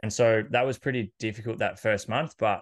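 Monotone, flat intonation in an Australian accent at a fairly quick pace, over a quiet background. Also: man. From Australia, country Victoria. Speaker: personal trainer and fitness podcaster. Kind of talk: casual interview.

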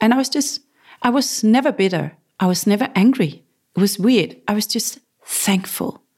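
With a somewhat breathy, fairly high voice, a woman speaks at a moderate pace with lively intonation. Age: 40s. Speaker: cancer survivor and entrepreneur. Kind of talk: interview. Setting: her headquarters in Copenhagen. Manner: halting, searching for words.

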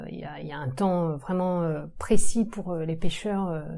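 A woman with a fairly low pitch talks at a fairly slow pace with ordinary pitch variation. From Brittany, France (Saint-Brieuc, Côtes d'Armor). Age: 40s. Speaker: urban agriculture entrepreneur. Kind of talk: casual interview. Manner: hesitant, many fillers.

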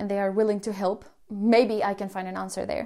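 Dark and mellow, a woman's voice comes with a Spanish accent. She talks at a fairly quick pace with monotone, flat intonation. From Colombia. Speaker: podcast host. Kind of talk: personal storytelling monologue. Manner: hesitant, many fillers.

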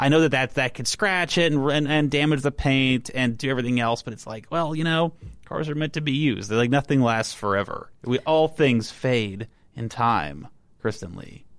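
This man has a normal speaking voice at a medium pitch, with an American accent. He talks at a moderate pace with ordinary pitch variation. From Texas. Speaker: car website editor. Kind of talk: casual chat. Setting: studio.

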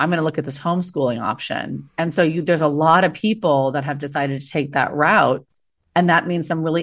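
Against a quiet background, a woman with an American accent talks fairly quickly with fairly even intonation. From United States. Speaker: former teacher and entrepreneur. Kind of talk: casual interview chat.

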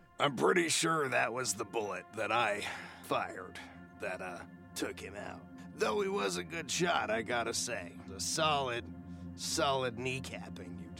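Over clear background music, a man performs a gravelly, put-on character voice, fairly low in pitch with very wide swings, at a moderate pace. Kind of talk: casual, dry.

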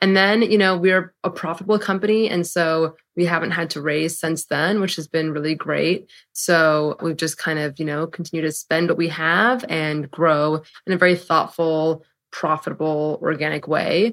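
A woman with an ordinary speaking voice and an American accent, fairly low pitch, fairly even intonation and moderate pace, on a very clean recording with a silent background. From San Francisco, US West Coast. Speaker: company founder and CEO. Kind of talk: interview.

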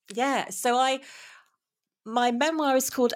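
A woman speaks with a British accent. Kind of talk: interview conversation. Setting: remote call.

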